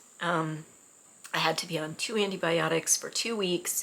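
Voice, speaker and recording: Fairly low in pitch, a woman's voice has a bright, sharp tone and fairly even intonation. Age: 60s. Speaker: miniatures hobbyist vlogger. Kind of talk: casual chat. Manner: hesitant, many fillers.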